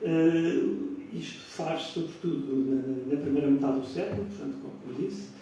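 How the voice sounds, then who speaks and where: Over noticeable background noise and audible room echo, a man with a fairly high pitch speaks with lively intonation. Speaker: historian lecturer. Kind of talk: lecture. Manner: soft-spoken.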